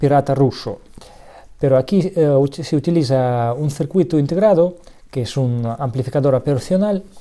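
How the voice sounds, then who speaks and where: Speech comes at a moderate pace with lively intonation, in a Russian accent. The tone is dark and mellow. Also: man. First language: Russian (speaking Spanish). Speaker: electronics hobbyist youtuber. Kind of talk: tutorial; casual chat. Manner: halting.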